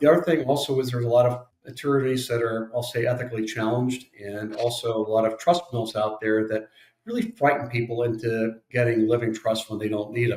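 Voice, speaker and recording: A man talks at a very fast pace. His voice is somewhat breathy, with fairly even intonation. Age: 60s. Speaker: estate planning attorney. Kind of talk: podcast interview.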